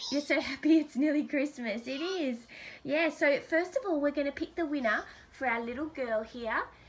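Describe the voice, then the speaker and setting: At a moderate pace, a woman with a high voice speaks using ordinary pitch variation over noticeable background noise. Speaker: YouTuber hosting giveaway. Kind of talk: casual chat.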